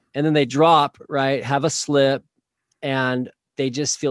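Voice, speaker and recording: A man with a plain, everyday voice and an American accent talks at a moderate pace in a fairly high pitch, recorded dry and close with no echo over a quiet background. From Oklahoma. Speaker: marriage and family therapist. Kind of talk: interview.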